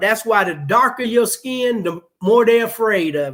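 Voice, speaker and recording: A loud man with an extremely high pitch, a fairly slow pace and lively intonation. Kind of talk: heated discussion on live talk show.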